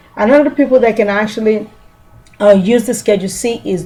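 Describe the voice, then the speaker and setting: Medium pitch from a woman speaking at a moderate pace, with noticeable background noise. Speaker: small business tax trainer. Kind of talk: tutorial.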